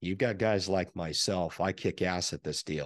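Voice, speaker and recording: In a quiet background with a dry sound and no echo, a man speaks at a moderate pace in a very deep, low pitch with ordinary pitch variation. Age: 40s. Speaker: stock market YouTuber; stock commentator. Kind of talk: solo video commentary. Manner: many filler words and hesitations. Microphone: studio mic.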